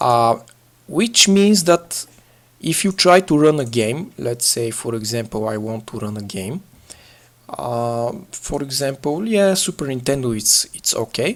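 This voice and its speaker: A man speaks with a non-native accent at a medium pitch. His pace is fairly slow, with very wide pitch swings. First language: not English. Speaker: gaming tutorial youtuber. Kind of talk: tutorial. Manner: halting, frequent filler uhs.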